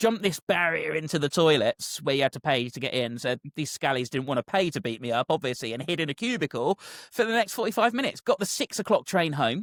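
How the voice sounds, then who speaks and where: A man's fairly high voice at a very fast pace with very wide pitch swings, dry and close with no echo, on a very clean recording with a silent background. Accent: southern English. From southern England. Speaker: football commentator. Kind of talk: casual chat, anecdote.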